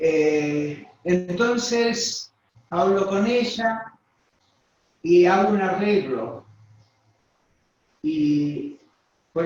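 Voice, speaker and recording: Lively intonation runs through this man's speech. His pitch is high. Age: 60s. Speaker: pastor. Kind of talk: interview testimony.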